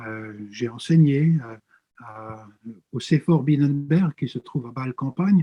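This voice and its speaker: A man's somewhat breathy, dark and mellow voice, fairly high in pitch, at a very slow pace. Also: ordinary pitch variation, big swings in loudness, dry, close sound with no echo. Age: 60s. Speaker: pastor and theology professor. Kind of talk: interview. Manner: hesitant, frequent filler sounds.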